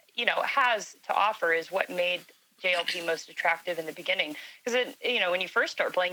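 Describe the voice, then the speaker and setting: Loud and bright with a sharp tone, the voice moves at a fairly quick pace with ordinary pitch variation. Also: woman. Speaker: gaming alliance admiral. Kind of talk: casual panel chat.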